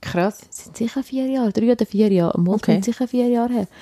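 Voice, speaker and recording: A woman's voice has a dark, mellow tone and fairly even intonation. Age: 20s. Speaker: podcast co-host. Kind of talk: casual chat.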